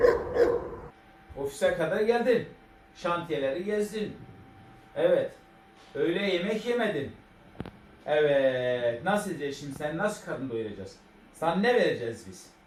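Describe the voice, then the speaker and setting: A man with an Elazığ accent talks at a high pitch with very wide pitch swings. His pace is fairly slow, with long, frequent pauses. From Elazığ, Turkey. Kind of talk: casual talk to an animal.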